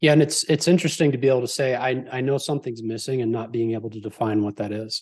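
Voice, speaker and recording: Against a quiet background, a man with a medium pitch talks at a very fast pace with hardly any pauses and ordinary pitch variation. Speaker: podcast guest and entrepreneur. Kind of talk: casual interview chat.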